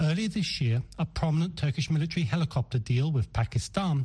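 A man speaks in a dark, mellow tone that is somewhat breathy, with lively intonation. The background is quiet. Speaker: foreign correspondent. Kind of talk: news report.

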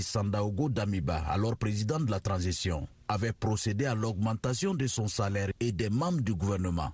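A man talks at a moderate pace in a fairly low, somewhat breathy voice. His pitch varies in an ordinary way against a quiet background. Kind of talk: news report filed from the field.

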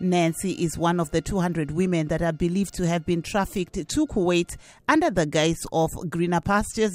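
A woman speaks at a moderate pace in a fairly low pitch with ordinary pitch variation and an unremarkable speaking voice. The recording is very clean, with a silent background. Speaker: radio host. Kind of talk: interview.

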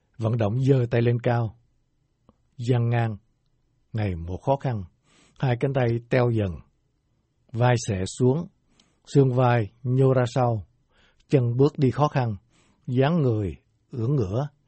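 Somewhat breathy, a man speaks at a very slow pace with long, frequent pauses and ordinary pitch variation. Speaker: radio host reading listener letter. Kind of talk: news reading, reading out a letter.

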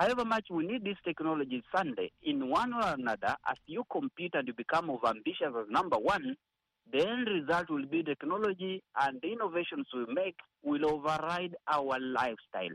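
A man with a high voice talks at a fairly quick pace. His pitch swings very widely, and the sound is dry and close with no echo. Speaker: studio guest.

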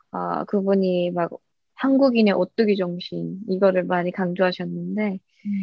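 A woman is speaking. Her pace is very slow. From North Korea. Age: 20s. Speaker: YouTuber and North Korean defector. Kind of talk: interview.

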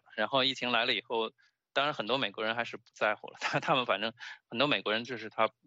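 Words come from a man at a very fast pace. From China. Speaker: stand-up comedian and political science PhD. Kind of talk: interview. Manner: halting, many fillers and repetitions.

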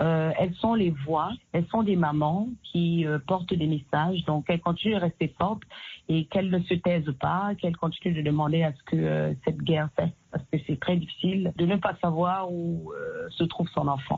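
A woman with a fairly low pitch talks at a moderate pace. She sounds somewhat breathy, with fairly even intonation. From Cameroon. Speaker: singer and activist. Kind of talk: interview. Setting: phone call.

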